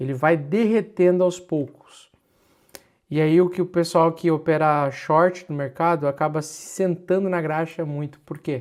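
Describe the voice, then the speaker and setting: Fairly high in pitch, a man speaks with fairly even intonation and a fairly slow pace. The recording is very clean, with a silent background. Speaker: crypto market analyst. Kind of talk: livestream market analysis. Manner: exasperated, emphatic.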